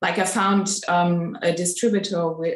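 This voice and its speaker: A woman speaks with a non-native accent. Her pitch is medium and her pace is moderate. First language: not English. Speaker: live chat participant. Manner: halting.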